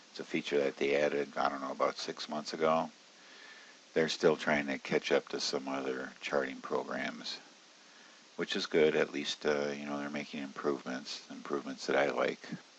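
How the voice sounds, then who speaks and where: A man talks quietly. His pace is moderate. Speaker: options trading educator. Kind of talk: screen-share tutorial. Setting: at home, early morning. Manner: quiet, subdued.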